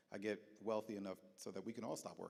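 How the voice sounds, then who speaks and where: In an American accent, a man with a medium-pitched voice speaks in an animated tone. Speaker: leadership development speaker. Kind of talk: platform talk. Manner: fast.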